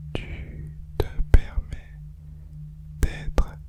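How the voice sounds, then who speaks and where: Whispering at a very slow pace, a man uses a soothing tone over noticeable background noise. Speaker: guided relaxation / ASMR hypnosis guide. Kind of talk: guided sleep relaxation. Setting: studio, with binaural tones in background. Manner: soft-spoken, slow, soothing; whispered.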